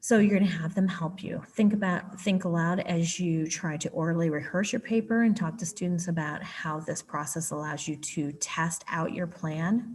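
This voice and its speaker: Somewhat breathy, a woman with a fairly low pitch speaks at a moderate pace with ordinary pitch variation and hardly any pauses. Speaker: writing curriculum specialist. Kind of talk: tutorial.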